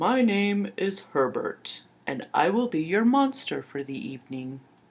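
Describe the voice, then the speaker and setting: A put-on character voice at a middle pitch comes out breathy and fairly slow, with very wide pitch swings. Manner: formal, polite.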